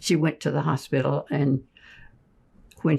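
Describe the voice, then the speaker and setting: This woman's pitch is very deep and low, with a dark, mellow tone. Vocal fry runs through her speech. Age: 80s+. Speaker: elder financial abuse victim. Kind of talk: interview answer.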